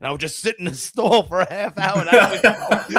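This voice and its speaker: A loud voice in a New York accent rushes along at a very fast pace. The tone is energetic, and the sound is dry and close with no echo. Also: man. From New York City. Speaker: podcast host. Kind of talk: casual chat. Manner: loud, energetic.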